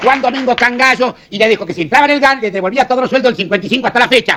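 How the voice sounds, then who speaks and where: Against crowd noise in the background, a man with an extremely high voice speaks at a very fast pace with ordinary pitch variation. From Argentina. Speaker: comedian, monologuist. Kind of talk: political comedy monologue.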